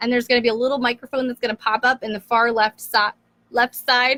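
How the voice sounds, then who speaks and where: A woman with a high pitch raises and projects her voice in a bright, sharp tone, recorded dry and close with no echo. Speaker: blogging coach. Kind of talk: live stream tutorial. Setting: live video stream. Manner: casual, filler-heavy.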